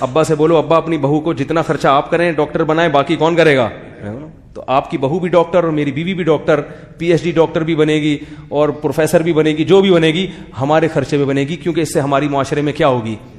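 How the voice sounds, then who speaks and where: Against noticeable background noise, a man's fairly high-pitched voice keeps a monotone, flat intonation. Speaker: Islamic scholar giving a sermon. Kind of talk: religious lecture with humorous commentary.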